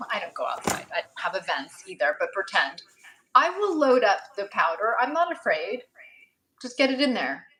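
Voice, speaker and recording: The speaker moves at a moderate pace, with big swings in loudness. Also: woman. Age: 50s. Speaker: cosmetics brand founder. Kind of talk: live stream chat. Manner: casual, halting.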